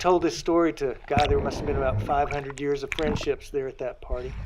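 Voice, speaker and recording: Over clearly audible background noise, a man talks rather quickly. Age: 60s. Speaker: artist and cyclist with muscular dystrophy. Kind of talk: personal storytelling monologue. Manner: animated.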